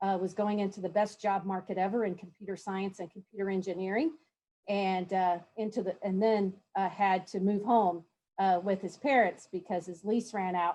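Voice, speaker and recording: A woman's dark, mellow tone with a Southern US accent. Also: medium pitch for a woman, fairly even intonation, moderate pace. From Kentucky, Louisville. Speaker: university chancellor, panelist. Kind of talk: conference panel introduction.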